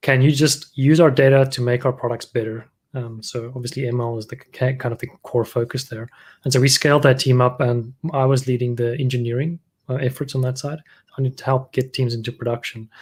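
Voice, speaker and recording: On a very clean recording with a silent background, a somewhat breathy man speaks at a fairly quick pace in a flat monotone. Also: medium pitch for a man. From South Africa. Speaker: machine learning engineering lead. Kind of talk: panel discussion.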